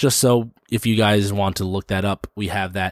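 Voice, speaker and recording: The recording is very clean with a silent background. A man with an ordinary speaking voice talks at a fairly low pitch and a moderate pace. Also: dry, close sound with no echo. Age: 30s. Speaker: podcast host and stand-up comedian. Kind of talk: casual chat.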